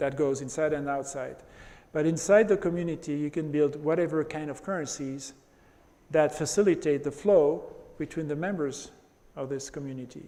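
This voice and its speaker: Long, frequent pauses break up speech at a moderate pace, delivered in a dark, mellow tone with fairly even intonation and audible room echo. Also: man, fairly high pitch for a man. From France. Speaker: presenter. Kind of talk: lecture.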